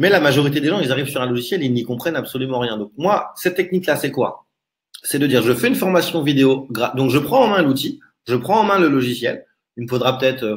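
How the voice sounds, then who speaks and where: At a fairly quick pace, a man speaks with lively intonation and medium pitch. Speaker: online marketing trainer. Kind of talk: live webinar presentation. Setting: live stream with chat. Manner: fast.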